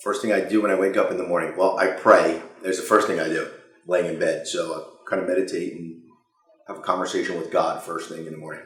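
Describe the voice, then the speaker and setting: A man talking at a very fast pace, with big swings in loudness and audible room echo. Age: 50s. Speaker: company CEO. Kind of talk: interview Q&A. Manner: halting, many fillers.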